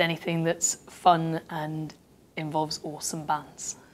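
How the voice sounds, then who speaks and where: A woman talks fairly slowly in a monotone, flat intonation. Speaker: radio producer and DJ. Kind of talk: interview. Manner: casual, many fillers.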